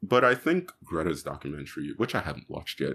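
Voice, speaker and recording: A man speaks with lively intonation and vocal fry. The recording is very clean, with a silent background. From Jamaica, moved to New York at sixteen. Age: 20s. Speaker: youth climate activist. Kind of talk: casual interview.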